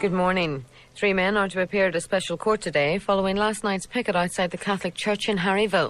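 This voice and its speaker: Over music in the background, a woman talks at a very fast pace and medium pitch with fairly even intonation. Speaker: radio newsreader. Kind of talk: radio news bulletin.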